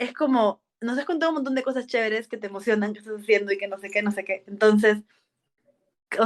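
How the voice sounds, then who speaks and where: A woman with a plain, everyday voice, fairly high in pitch with ordinary pitch variation. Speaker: podcast host. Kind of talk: casual interview chat.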